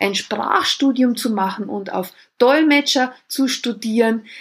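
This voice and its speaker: A woman's enthusiastic tone at a fairly slow pace. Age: 50s. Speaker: dance school owner and nutrition coach. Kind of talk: podcast monologue.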